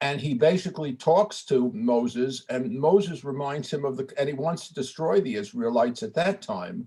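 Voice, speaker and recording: In an American accent, a man talks at a moderate pace in a somewhat breathy voice with very wide pitch swings. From New York (Brooklyn). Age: 80s+. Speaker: congregant in study group. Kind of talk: casual discussion. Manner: halting.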